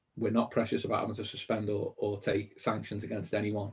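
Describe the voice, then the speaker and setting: In a Liverpool accent, a man speaks in a somewhat breathy voice. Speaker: mortgage industry business founder. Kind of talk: webinar interview. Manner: animated.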